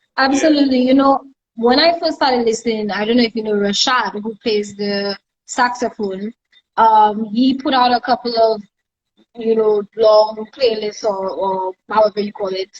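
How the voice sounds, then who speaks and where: With a Saint Lucian accent, a woman speaks with ordinary pitch variation. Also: fairly high pitch for a woman, moderate pace. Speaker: live stream host. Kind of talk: casual interview chat.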